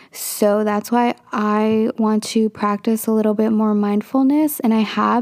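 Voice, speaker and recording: Recorded very cleanly against a silent background with a dry, close sound and no echo, an unremarkable speaking voice holds fairly even intonation. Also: woman. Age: 20s. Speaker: solo podcaster. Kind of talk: casual personal monologue. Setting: recording in a clothes closet. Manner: casual with frequent fillers.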